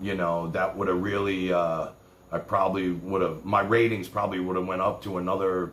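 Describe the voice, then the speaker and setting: A man talks at a moderate pace with a New York accent. His pitch is very deep and low. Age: 60s. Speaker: livestream host. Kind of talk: casual chat.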